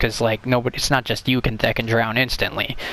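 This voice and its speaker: This man's voice has a bright, sharp tone. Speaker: gaming youtuber. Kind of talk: casual video commentary ranking games. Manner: halting, many fillers and restarts.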